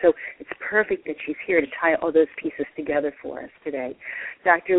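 Noticeable background noise is present. Over it, a woman speaks fairly quickly. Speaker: radio host. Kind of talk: radio interview. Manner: animated.

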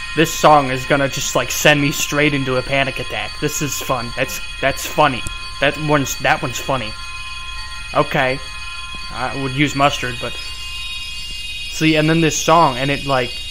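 With clear music playing behind him, a man speaks fairly slowly. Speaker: video reactor. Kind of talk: casual reaction commentary. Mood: nervous, laughing, spooked. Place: home room. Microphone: headset.

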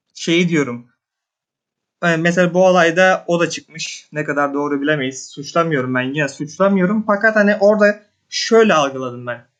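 Moderate pace with ordinary pitch variation. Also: man, high pitch for a man. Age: 20s. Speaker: viewer. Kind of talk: casual chat. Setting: voice call. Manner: halting.

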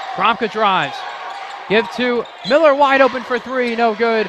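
Through noticeable background noise, a man speaks at an extremely high pitch with ordinary pitch variation, the sound dry with no echo. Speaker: television sports play-by-play announcer. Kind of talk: sports play-by-play call. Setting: live basketball game commentary. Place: stadium. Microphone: headset.

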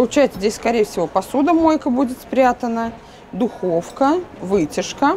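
Over light background noise, a woman with a high pitch talks at a fairly slow pace, her pitch swinging very widely. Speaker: interior furniture vlogger. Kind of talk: casual video store walkthrough review; casual vlog chat. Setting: furniture store showroom. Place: shop. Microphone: lapel.

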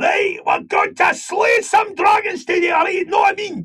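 This put-on character voice shouts gruffly at a moderate pace in a Glaswegian accent. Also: man, extremely high pitch for a man. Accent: Glaswegian Scottish. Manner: gruff, heavy, exaggerated.

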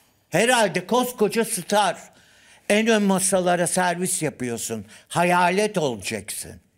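With lively intonation and big swings in loudness, a man speaks at a very slow pace and a high pitch. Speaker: studio commentator. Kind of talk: casual TV talk show chat. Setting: studio. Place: studio.

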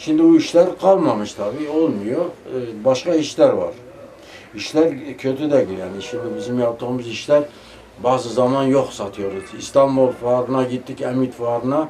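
There is noticeable background noise as a man talks at a moderate pace. His pitch variation is ordinary. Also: medium pitch for a man. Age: 70s. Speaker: tassel maker craftsman. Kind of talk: interview answer.

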